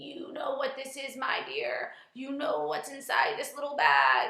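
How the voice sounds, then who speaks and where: Whispering in a creaky, put-on character voice, a woman speaks at a fairly slow pace with a slight echo. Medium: read story. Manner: whispering, mysterious.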